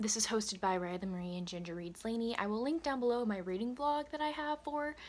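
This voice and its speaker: Here a woman is speaking. Her intonation is lively. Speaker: book vlogger. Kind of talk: casual vlog chat. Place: home room. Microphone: phone near.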